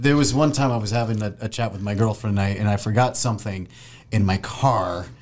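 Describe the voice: A man with a Californian accent and a fairly low pitch. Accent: California.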